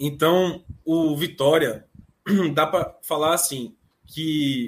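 A man with a Bahian accent, fairly high in pitch, at a very slow pace. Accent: Bahian Brazilian Portuguese. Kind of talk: casual chat.

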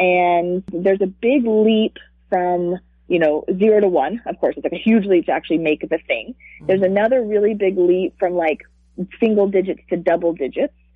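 This is an ordinary speaking voice: a woman at medium pitch, moderate pace and ordinary pitch variation. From US South, Charlotte, North Carolina. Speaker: startup CEO. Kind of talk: interview. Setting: phone call.

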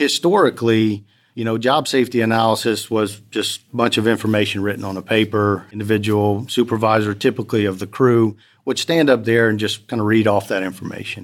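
Recorded very cleanly against a silent background, a man with an American accent talks fairly quickly at a medium pitch with fairly even intonation. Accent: South Louisiana (Cajun-tinged) US Southern. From US South, Lafayette, Louisiana. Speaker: oil and gas safety manager. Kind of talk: interview conversation.

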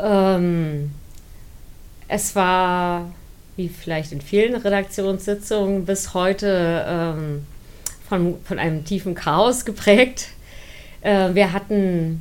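In a room with audible echo, a woman speaks very slowly at a medium pitch with fairly even intonation. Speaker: science communicator, former student newspaper editor. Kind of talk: interview, personal recollection.

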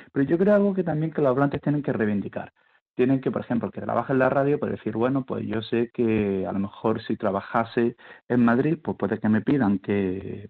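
A man talks at a very fast pace. His pitch sits at a medium level. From eastern Andalusia, Spain (El Ejido, Almería). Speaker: university linguistics professor. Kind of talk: radio interview.

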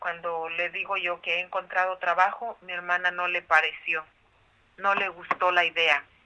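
A woman's fairly low pitch, monotone and flat, at a moderate pace. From Mexico, Michoacán. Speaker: trafficking survivor and foundation founder. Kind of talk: interview testimony. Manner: halting.

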